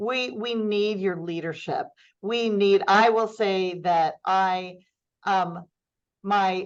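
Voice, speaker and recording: A woman at medium pitch, very slow pace and ordinary pitch variation, against a quiet background. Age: 60s. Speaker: nonprofit foundation CEO. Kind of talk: podcast interview.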